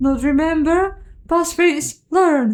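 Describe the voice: A squeaky, extremely high-pitched put-on character voice from a woman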